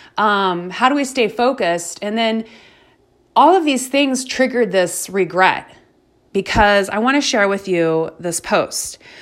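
A woman's ordinary speaking voice, fairly high in pitch, with lively intonation. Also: fairly slow pace, very clean recording, silent background. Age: 40s. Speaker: fitness and organization coach, podcast host. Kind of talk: motivational monologue. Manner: casual, conversational with fillers.

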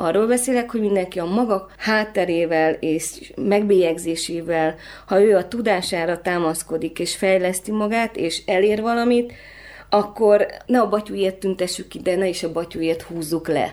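In a normal speaking voice, a woman talks at a moderate pace and medium pitch with ordinary pitch variation. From Transylvania, then Budapest from age 11. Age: 30s. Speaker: photographer. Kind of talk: interview conversation.

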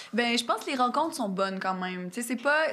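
A woman speaks in a Quebec accent on a very clean recording with a silent background. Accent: Québécois French. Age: 30s. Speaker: singer-songwriter. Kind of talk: casual interview.

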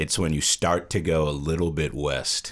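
With an American accent, a man speaks at a moderate pace in an extremely low pitch that moves very little.

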